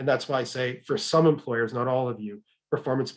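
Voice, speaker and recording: At a very fast pace, a man speaks with fairly even intonation and a medium pitch. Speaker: webinar presenter on HR topics. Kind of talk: webinar presentation. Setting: online webinar.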